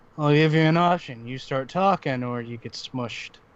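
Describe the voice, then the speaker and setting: Using a put-on character voice, a man speaks gruffly at a fairly high pitch and a moderate pace. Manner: threatening.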